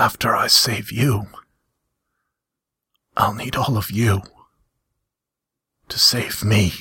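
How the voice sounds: Whispering in a put-on character voice, a man sounds hoarse and raspy, moving at a fairly slow pace with long, frequent pauses.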